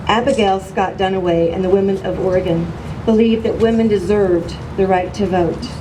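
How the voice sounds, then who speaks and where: A woman with an American accent speaks at a fairly quick pace in a medium pitch, her intonation fairly even, with noticeable background noise and audible room echo. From Missouri. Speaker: political activist. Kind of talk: public speech. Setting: podium at outdoor rally.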